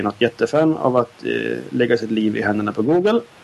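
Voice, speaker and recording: A man's medium-pitched voice with vocal fry, ordinary pitch variation and a fairly quick pace. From southern Sweden (Skåne), parents from Norrbotten. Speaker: podcast co-host. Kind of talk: casual chat.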